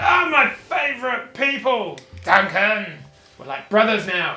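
Loud and echoing, a man puts on a character voice at an extremely high pitch and speaks at a fairly slow pace. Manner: loud, boisterous; jovial, friendly.

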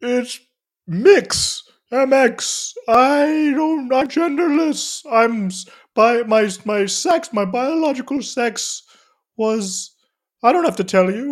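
A put-on character voice at a high pitch speaks very slowly with long, frequent pauses in a very clean recording with a silent background.

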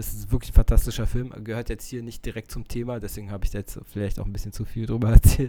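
The man's voice has a dark, mellow tone and a monotone, flat intonation. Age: 50s. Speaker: podcast host, film enthusiast. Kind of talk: solo monologue about films. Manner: hesitant, many filler sounds.

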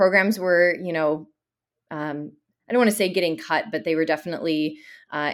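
Over a silent background in a very clean recording, a woman speaks with a Chicago-area accent at a fairly low pitch. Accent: Chicago-area American English. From Chicago suburbs, US Midwest. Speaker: dance educator and studio owner. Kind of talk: interview.

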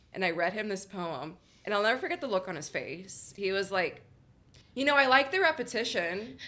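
Loud and fairly quick, a woman speaks at a medium pitch with very wide pitch swings. Her tone is bright and sharp. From Miami, Florida (Little Havana). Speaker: poet and spoken word performer. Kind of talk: casual interview chat.

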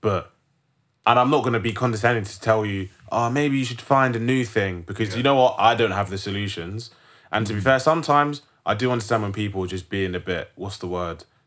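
Someone with a London accent talks at a very fast pace with ordinary pitch variation. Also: man, medium pitch for a man. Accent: London multicultural youth English. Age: 20s. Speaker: podcast host. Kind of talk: casual banter.

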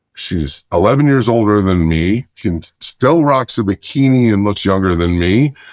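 A man with an American accent speaks in a plain, everyday voice at a fairly low pitch, with lively intonation and very even loudness. He keeps a moderate pace with hardly any pauses, and the sound is dry and close with no echo over a quiet background. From Chicago and Lancaster County, Pennsylvania. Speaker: salesman. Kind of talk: interview storytelling.

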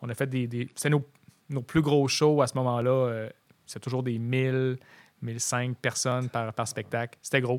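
The delivery comes at a fairly slow pace in a monotone, flat intonation. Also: man, medium pitch for a man. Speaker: photographer and punk rock drummer. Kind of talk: casual chat.

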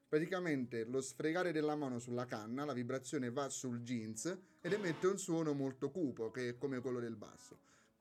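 This man has an ordinary speaking voice, medium in pitch, talking at a fairly quick pace with ordinary pitch variation. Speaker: university student and Erasmus project volunteer. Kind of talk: casual radio interview. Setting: radio studio.

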